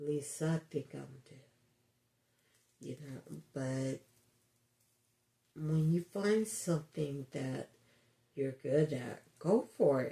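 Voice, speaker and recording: Very slowly and with long, frequent pauses, a man speaks in a fairly high, somewhat breathy voice of dark, mellow tone, with ordinary pitch variation and big swings in loudness. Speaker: resin crafter with ataxia. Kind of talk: craft tutorial.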